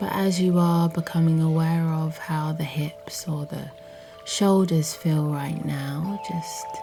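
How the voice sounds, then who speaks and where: Over music in the background, a woman speaks at a very slow pace with a very deep, low pitch. Her tone is calm, with ordinary pitch variation. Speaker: meditation guide. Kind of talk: guided yoga nidra body scan. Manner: slow, calm.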